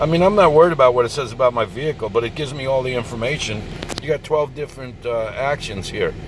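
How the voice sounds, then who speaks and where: Noticeable background noise fills the clip. Through it, a man speaks. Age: 60s. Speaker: product reviewer, nomad vlogger. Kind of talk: product review tutorial. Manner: casual, thinking aloud.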